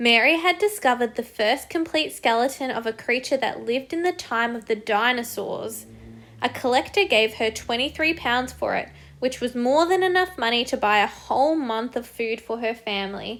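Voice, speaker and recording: At a moderate pace, a high-pitched woman with an Australian accent speaks with lively intonation. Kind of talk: children's picture book read-aloud.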